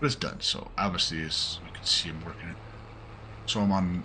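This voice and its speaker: A man's very deep, low voice in a relaxed tone, at a moderate pace with ordinary pitch variation and audible room echo. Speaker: gaming YouTuber. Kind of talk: casual gameplay commentary. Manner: relaxed, with many fillers.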